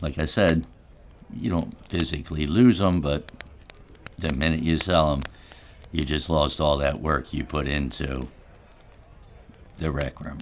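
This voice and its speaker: A raspy, put-on character voice in a calm tone at a moderate pace, broken by long, frequent pauses. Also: man, very deep, low pitch for a man. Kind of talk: ASMR storytelling. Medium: solo performance. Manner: rambling, conversational, calm.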